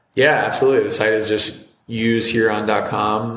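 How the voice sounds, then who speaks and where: A man with an American accent speaks at a moderate pace in a plain, everyday voice, pitched fairly low. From US Midwest, Cincinnati, Ohio. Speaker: entrepreneur, brand founder. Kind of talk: casual interview chat.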